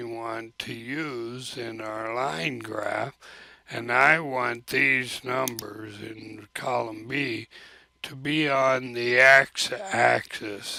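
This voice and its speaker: At a very slow pace, a man speaks in a dry sound with no echo over a quiet background. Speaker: teacher. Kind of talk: screen-recorded software tutorial. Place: home room. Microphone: webcam.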